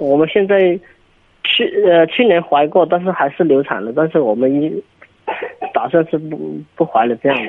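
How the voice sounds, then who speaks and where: A man speaks at a moderate pace with lively intonation. Long pauses come often. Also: fairly high pitch for a man. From Yunnan, China. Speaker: caller. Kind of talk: phone call-in advice. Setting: phone call. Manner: halting.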